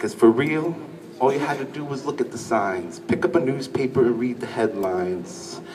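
A man speaks while noticeable background noise carries through the recording. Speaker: spoken word poet. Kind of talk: spoken word poetry performance. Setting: live stage, audience. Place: stage. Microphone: pa.

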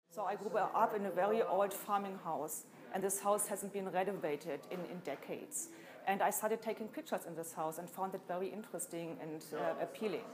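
Speech with ordinary pitch variation moves at a fairly quick pace over noticeable background noise. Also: woman. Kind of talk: interview answer. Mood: calm, reflective. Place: hall.

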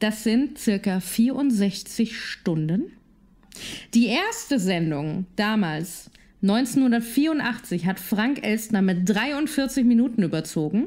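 Somewhat breathy, a woman speaks very slowly at a fairly high pitch. Her loudness is very even and her intonation lively. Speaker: podcast co-host. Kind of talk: casual chat. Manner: giggly, playful.

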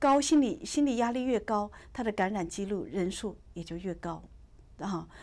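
Her pitch fairly high and her intonation lively, a woman talks at a moderate pace. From China. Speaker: virologist. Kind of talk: interview. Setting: studio. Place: studio.

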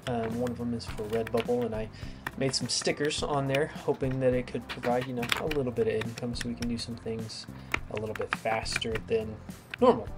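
A man talks at a fairly quick pace with music playing in the background. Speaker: maker channel host. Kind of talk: casual build tutorial chat. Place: garage.

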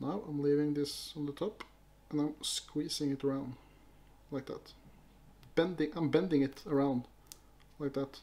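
Speaking in a Norwegian accent at a moderate pace, a man with a fairly high pitch takes long, frequent pauses. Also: fairly even intonation. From Norway. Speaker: fly-tying youtuber. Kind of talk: tutorial. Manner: halting. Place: home room.

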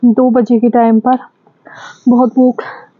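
This woman talks at a high pitch in a monotone, flat intonation. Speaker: solo camping vlogger. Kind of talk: casual vlog chat. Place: tent. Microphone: phone near.

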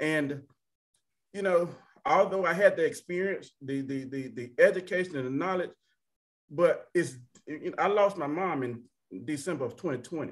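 Over a quiet background, a speaker with an Alabama accent talks at a moderate pace, with ordinary pitch variation. Loudness swings widely, and long pauses come often. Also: man, high pitch for a man. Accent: US Southern (Alabama). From Alabama (Tuskegee). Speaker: panelist. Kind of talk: panel discussion. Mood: earnest, personal. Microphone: video call.

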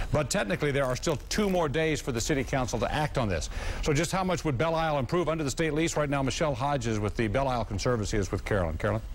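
A man's fairly high voice with vocal fry and lively intonation, at a very fast pace with hardly any pauses, over light background noise. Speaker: TV news anchor. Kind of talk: news reading. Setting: TV studio. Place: studio. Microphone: lapel.

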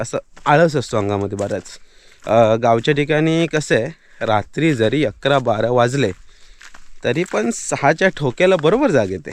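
A plain, everyday voice from a man, medium in pitch, with lively intonation. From Konkan, Maharashtra (Sangameshwar, Ratnagiri). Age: 30s. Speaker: village vlogger. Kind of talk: casual vlog narration. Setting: outdoors.

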